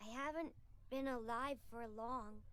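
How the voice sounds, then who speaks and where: A female-sounding voice uses a put-on character voice at a fairly slow pace. Its pitch is high for a woman. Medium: video game. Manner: stammering, nervous.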